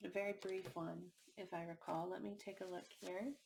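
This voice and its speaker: A soft-spoken woman talks at a moderate pace. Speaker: tarot reader. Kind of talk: tarot reading.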